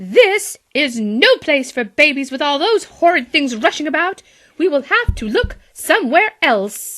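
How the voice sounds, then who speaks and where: A put-on character voice runs at a moderate pace with very wide pitch swings. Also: woman, high pitch for a woman. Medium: read story. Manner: fussy, worried.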